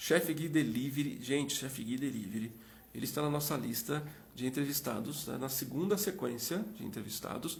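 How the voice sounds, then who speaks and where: Somewhat breathy speech with lively intonation moves at a moderate pace, with audible room echo around it. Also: man, fairly high pitch for a man. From Minas Gerais, Brazil. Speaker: live interview host. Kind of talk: live stream chat. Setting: Instagram live.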